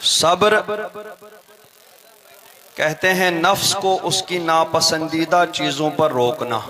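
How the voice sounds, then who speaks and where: With noticeable background noise behind him, the man's fairly high voice shows ordinary pitch variation. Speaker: Islamic scholar (mufti). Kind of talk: religious sermon (taqreer) to a live audience.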